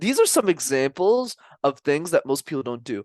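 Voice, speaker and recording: A man speaks loudly in a high voice at a moderate pace. The sound is dry and close, with no echo. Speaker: communication coach. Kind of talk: interview.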